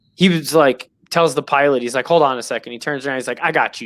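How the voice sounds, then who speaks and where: Speaking very fast with a New York accent, a man has a bright, sharp tone, fairly high pitch, and ordinary pitch variation. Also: very clean recording, silent background. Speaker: sports podcast host. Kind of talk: show sign-off; casual chat.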